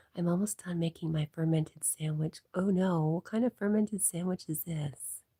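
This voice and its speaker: A woman's fairly low, somewhat breathy voice has a dark, mellow tone and ordinary pitch variation. The sound is dry and close with no echo, and she moves at a moderate pace with hardly any pauses. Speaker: livestreamer. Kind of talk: casual chat reading live comments.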